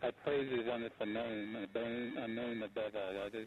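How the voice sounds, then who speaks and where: Here a man speaks at a medium pitch. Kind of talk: fervent prayer. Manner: earnest, devout, halting.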